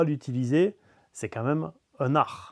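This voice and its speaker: A man speaks in a southern French accent with ordinary pitch variation. The sound is dry and close with no echo, over a quiet background. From south of France. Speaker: DIY hobbyist YouTuber. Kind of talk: mock interview answer.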